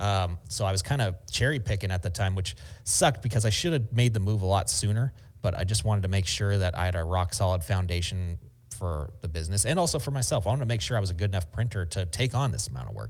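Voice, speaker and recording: Fairly low in pitch and somewhat breathy, a man talks at a very fast pace. His intonation is lively. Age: 30s. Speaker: screen print shop owner and YouTuber. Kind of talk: casual interview chat.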